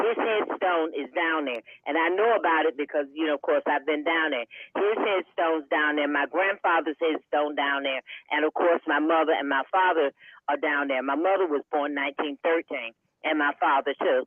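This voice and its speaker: A woman with a very deep, low pitch talks at a moderate pace, with very even loudness and ordinary pitch variation. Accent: eastern North Carolina. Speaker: town councilwoman. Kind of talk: panel discussion. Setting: radio studio panel.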